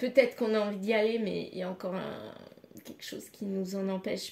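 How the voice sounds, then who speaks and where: With fairly even intonation, a woman talks in a medium pitch. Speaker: tarot card reader. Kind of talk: card reading guidance. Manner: halting.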